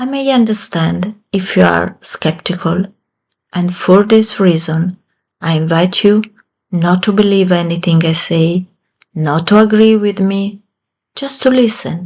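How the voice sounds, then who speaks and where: Speaking fairly slowly with an Italian accent, a woman uses a somewhat breathy, medium-pitched voice with ordinary pitch variation. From Italy. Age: 50s. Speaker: self-help channel creator. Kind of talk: motivational talk.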